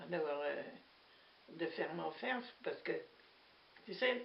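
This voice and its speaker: Through noticeable background noise, a woman speaks very slowly with lively intonation. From Normandy, France (Manche). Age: 80s+. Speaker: war witness, former farm worker. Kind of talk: testimony. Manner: hesitant, conversational.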